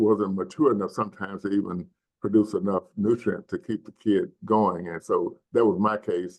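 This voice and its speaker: A man with a Mississippi accent speaks at a moderate pace. His pitch is fairly low, with fairly even intonation. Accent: Southern US (Mississippi). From US South, Mississippi Delta. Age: 70s. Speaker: nonprofit community health leader. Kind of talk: panel discussion storytelling. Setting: webinar video call.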